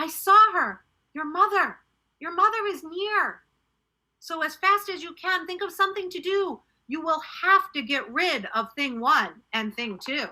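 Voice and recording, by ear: Putting on a character voice with a Guatemalan-free, bright, sharp tone, a woman speaks at an extremely high pitch and a fairly slow pace with ordinary pitch variation.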